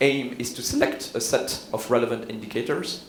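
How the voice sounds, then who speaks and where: A man with a Swiss French accent, noticeable background noise and audible room echo. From Switzerland, Neuchâtel (French-speaking). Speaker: health economist, professor. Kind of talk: conference keynote. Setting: conference stage with audience. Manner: hesitant, many fillers.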